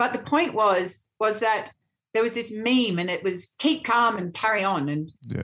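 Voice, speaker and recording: With lively intonation and an Australian accent, a woman speaks at a moderate pace. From Australia, Sydney. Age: 50s. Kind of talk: casual interview.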